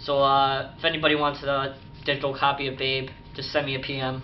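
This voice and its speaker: A man's voice comes through noticeable background noise and audible echo from the room. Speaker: YouTube collector vlogger. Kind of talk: casual video update. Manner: fast; hesitant, many fillers.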